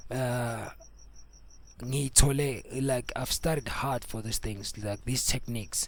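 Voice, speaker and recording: A man in a Zulu accent, medium pitch, monotone and flat intonation, and a fairly slow pace. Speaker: music producer and mastering tutor. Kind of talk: tutorial. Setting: home studio. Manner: code-switching between Zulu and English; casual, repetitive.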